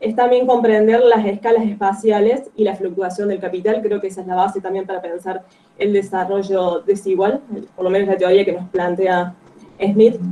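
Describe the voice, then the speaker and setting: A woman's ordinary speaking voice, medium in pitch, at a moderate pace with fairly even intonation. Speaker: guest speaker on a book. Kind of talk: online reading group talk.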